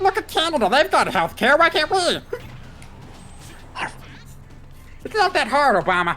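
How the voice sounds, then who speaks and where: A put-on character voice, high in pitch with very wide pitch swings, moves at a fairly slow pace over clear background noise. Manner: nonsensical, ranting.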